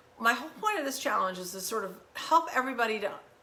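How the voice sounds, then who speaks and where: Over noticeable background noise and audible room echo, a woman with a fairly high pitch talks at a fairly quick pace, her tone animated and her intonation lively. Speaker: wellness challenge host. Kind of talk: tutorial. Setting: home kitchen. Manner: fast.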